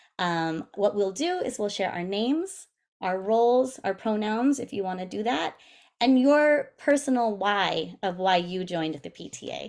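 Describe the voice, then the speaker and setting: A woman's ordinary speaking voice, medium in pitch, at a fairly slow pace, with big swings in loudness and lively intonation. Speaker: PTA president. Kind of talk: presentation over video meeting. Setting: video call. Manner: casual, filler-heavy.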